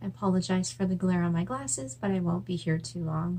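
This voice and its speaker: This woman's voice is very deep and low-pitched and somewhat breathy. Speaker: writer. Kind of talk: casual talk to camera.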